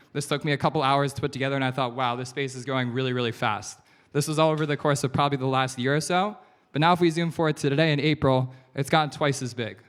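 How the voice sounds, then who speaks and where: A man with an American accent at a fairly high pitch and a very fast pace, on a very clean recording with a silent background. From USA. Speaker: investor. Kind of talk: keynote talk. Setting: stage with audience. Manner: animated.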